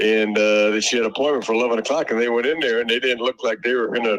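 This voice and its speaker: A man talks at a very fast pace in a dry, close sound with no echo. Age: 70s. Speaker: property seller on a phone call. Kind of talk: phone conversation. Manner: halting, many fillers and restarts.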